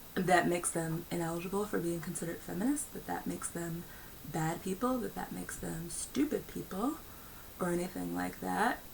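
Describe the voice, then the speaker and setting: A woman talks with an American accent. Background noise can be heard clearly. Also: fairly quick pace. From United States. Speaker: video blogger. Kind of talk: personal commentary monologue. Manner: filler-heavy, with frequent ums and uhs.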